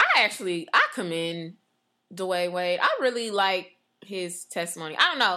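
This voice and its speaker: A woman's animated, passionate delivery at medium pitch, with ordinary pitch variation and a moderate pace. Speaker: podcast host. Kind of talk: casual chat. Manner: animated, passionate, excitable; talks over others.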